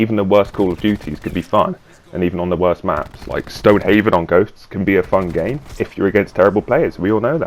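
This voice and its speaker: Over noticeable background noise, a man talks at a very fast pace in a fairly low pitch with ordinary pitch variation. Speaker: gaming youtuber. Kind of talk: gameplay commentary. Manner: halting.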